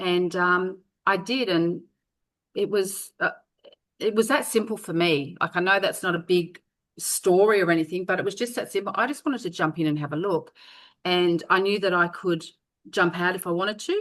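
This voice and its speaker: A woman with an ordinary speaking voice talks at a medium pitch and a moderate pace, with ordinary pitch variation over a quiet background. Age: 60s. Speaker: network marketer. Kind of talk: interview answer.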